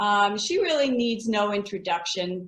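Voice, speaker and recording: A woman with a plain, everyday voice and ordinary pitch variation. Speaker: fitness association co-founder, interviewer. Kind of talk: conference welcome and introduction.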